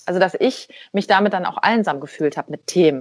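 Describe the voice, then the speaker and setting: A woman with an unremarkable speaking voice and ordinary pitch variation speaks at a moderate pace, captured on a very clean recording with a silent background. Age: 40s. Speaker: life coach and speaker. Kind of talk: interview conversation.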